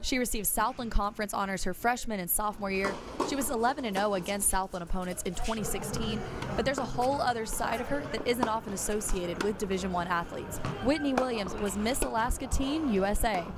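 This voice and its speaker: The speech moves at a very fast pace with lively intonation over noticeable background noise. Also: woman, fairly high pitch for a woman. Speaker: sports reporter. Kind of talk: sports feature narration.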